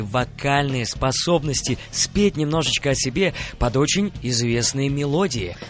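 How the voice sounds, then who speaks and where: Against noticeable background noise, a man with a fairly high voice speaks at a fairly slow pace in an animated tone, his pitch varying in an ordinary way. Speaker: radio host. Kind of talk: radio show hosting. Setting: radio studio.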